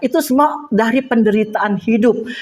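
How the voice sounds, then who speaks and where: A woman speaks with an ordinary speaking voice at a moderate pace. Her pitch is fairly high, with ordinary pitch variation. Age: 60s. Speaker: Bible teacher. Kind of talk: personal testimony; Bible study teaching. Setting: women's church group.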